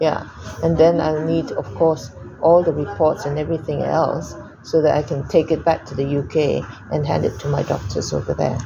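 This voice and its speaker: Noticeable background noise fills the recording. The talking proceeds at a moderate pace. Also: woman. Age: 60s. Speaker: cancer patient. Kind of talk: doctor consultation.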